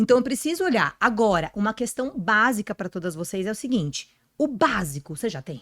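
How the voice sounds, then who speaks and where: A woman's fairly high voice with very wide pitch swings at a fairly quick pace, dry and close with no echo, in a very clean recording with a silent background. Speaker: podcast guest, personal image and career speaker. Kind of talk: podcast interview. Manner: fast.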